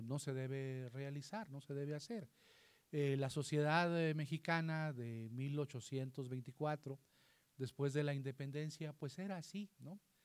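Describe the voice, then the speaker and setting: A man at a fairly high pitch, with ordinary pitch variation and a fairly slow pace. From northern Mexico, Coahuila. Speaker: constitutional law scholar; panelist. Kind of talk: panel talk; lecture. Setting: library event with audience. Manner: halting. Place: hall.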